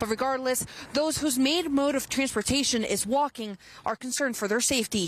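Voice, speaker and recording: In an American accent, the voice shows ordinary pitch variation. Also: woman. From Maryland, USA. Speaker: TV news reporter. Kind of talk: standup and live shot delivery.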